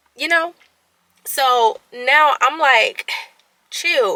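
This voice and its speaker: A woman speaks in a raised, projected voice. Her tone is animated. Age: 20s. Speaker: vlogger. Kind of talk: casual vlog monologue. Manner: stuttering at times.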